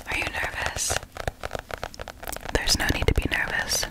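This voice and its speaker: Whispering at a moderate pace, a soft-spoken woman uses a soothing tone. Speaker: ASMR creator. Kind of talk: ASMR whisper role-play and sponsor talk. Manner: soothing soft whisper. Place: home room. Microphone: studio mic.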